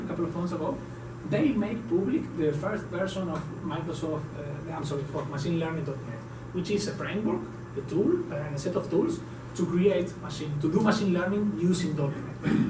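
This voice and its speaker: A man speaks in a fairly high pitch with ordinary pitch variation. The recording has audible room echo and noticeable background noise. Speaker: tech conference speaker. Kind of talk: technical talk at a meetup. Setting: meetup room with audience. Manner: fast; animated.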